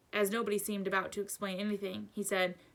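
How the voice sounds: What we hear is a natural reading voice.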